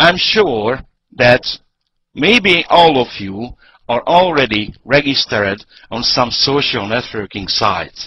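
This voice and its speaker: Man with a Hungarian accent, medium in pitch with very wide pitch swings, at a very slow pace. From Hungary. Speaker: network marketing presenter. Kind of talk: business presentation. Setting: online webinar call. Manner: hesitant, many fillers.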